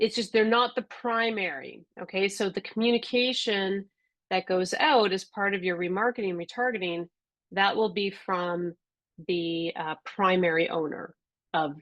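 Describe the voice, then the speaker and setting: At a moderate pace, a woman talks with an ordinary speaking voice at a medium pitch, with ordinary pitch variation. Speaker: software trainer. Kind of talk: webinar tutorial.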